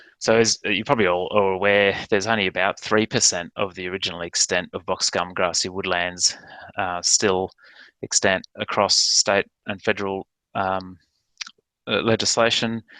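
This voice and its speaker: In a dry, close recording with no echo and a quiet background, a man with an Australian accent talks at a moderate pace in a bright, sharp tone, his fairly low pitch held monotone and flat. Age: 40s. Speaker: ecologist and landholder. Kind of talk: presentation. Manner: halting, many fillers.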